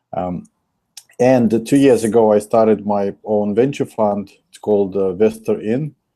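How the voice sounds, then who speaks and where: A man with a Russian accent, a fairly low pitch and a dark, mellow tone, at a fairly slow pace with fairly even intonation and big swings in loudness. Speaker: investor. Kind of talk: interview. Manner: hesitant with fillers.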